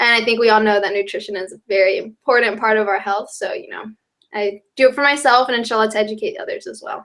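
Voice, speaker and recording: Talking at a very fast pace with a slight Southern US accent, a woman has a fairly high pitch, ordinary pitch variation and big swings in loudness. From US South, North Carolina. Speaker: college student, brand ambassador. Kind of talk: interview.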